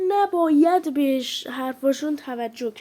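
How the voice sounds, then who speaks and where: The woman here speaks at a very slow pace. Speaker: mobile game streamer. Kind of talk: casual gameplay commentary.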